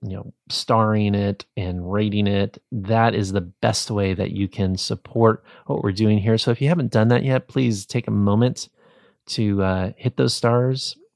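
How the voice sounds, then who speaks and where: Fairly slow and fairly even in intonation, a man with an ordinary speaking voice talks at a fairly low pitch on a very clean recording with a silent background. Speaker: podcast host. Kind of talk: podcast interview intro and outro. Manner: warm, encouraging.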